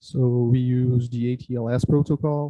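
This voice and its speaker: A man with a Brazilian accent speaks at medium pitch in a monotone, flat intonation. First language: Portuguese. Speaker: surgery resident. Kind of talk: medical case presentation. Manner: halting, frequent filler sounds.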